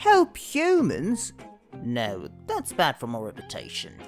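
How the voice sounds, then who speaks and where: Someone uses a put-on character voice at a fairly slow pace, with faint music in the background. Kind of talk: comedy webcomic dub.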